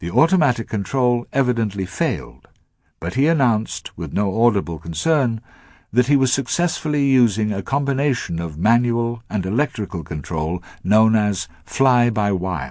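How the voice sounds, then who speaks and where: A man with a British accent speaks with very wide pitch swings against a quiet background. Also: medium pitch for a man, moderate pace. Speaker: broadcaster. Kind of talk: radio letter broadcast. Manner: elegant narration.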